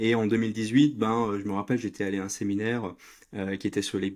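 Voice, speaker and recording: The recording is very clean with a silent background, carrying a man's fairly low pitch. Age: 30s. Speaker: entrepreneur. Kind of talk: interview. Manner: halting, many fillers.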